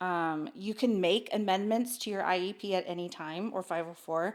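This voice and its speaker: A woman's medium-pitched, ordinary speaking voice at a fairly slow pace, in a very clean recording with a silent background. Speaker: special education parent advocate. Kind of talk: casual chat.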